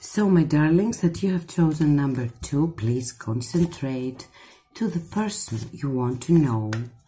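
A Greek accent with lively intonation and a warm tone, music playing in the background. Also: woman. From Greece. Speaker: tarot reader. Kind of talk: tarot reading to camera. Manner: warm, affectionate. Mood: warm, soothing. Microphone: phone near.

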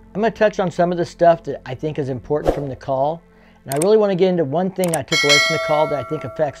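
Behind a man's speech, clear music can be heard. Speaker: motorcycle enthusiast vlogger. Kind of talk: commentary. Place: garage. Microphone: webcam.

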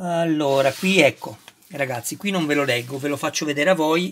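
Fairly high in pitch, a man talks in an animated tone at a moderate pace. His pitch variation is ordinary. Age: 50s. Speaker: YouTuber model kit reviewer. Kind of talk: unboxing tutorial. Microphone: phone near.

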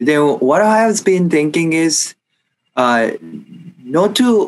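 This man has a Japanese accent and a high pitch. His intonation is lively. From Japan, Kanagawa. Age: 20s. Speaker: former high school kendo athlete, finance worker; interview guest. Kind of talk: interview. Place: home room. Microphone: video call.

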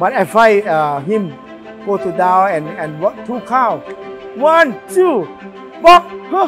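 Very slow speech in a Thai accent, with pitch that swings very widely. Clear music plays in the background. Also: man. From Thailand. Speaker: retired Muay Thai fighter. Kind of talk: interview answer. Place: gym. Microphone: lapel.

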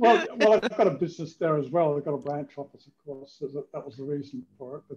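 Light background noise runs behind a man's voice. It is somewhat breathy, with a dark, mellow tone. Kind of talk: casual conversation. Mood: amused, self-deprecating. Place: home room. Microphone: headset.

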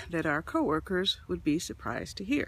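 A woman talks at a moderate pace, and the sound is dry with no echo. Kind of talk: confessional selfie monologue. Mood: low, worried, confiding. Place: forest. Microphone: phone near.

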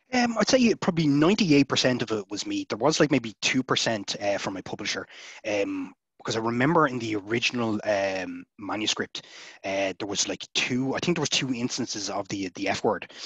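A man with an Irish accent, lively intonation and a fairly quick pace, recorded dry with no echo against a quiet background. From Ireland, Dublin. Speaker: science fiction author; interviewee. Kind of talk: interview. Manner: casual, hesitant with many fillers. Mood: relaxed, chatty. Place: home room. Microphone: headset.

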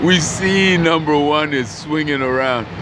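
Over noticeable background noise, a man speaks very slowly with lively intonation, the sound dry with no echo. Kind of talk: casual commentary. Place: street. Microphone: phone near.

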